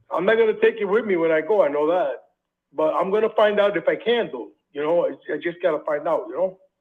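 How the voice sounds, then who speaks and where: A man talks very fast at a high pitch. His intonation is lively. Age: 60s. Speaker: property seller, military veteran. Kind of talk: phone call with a home buyer. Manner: hesitant, filler-heavy speech.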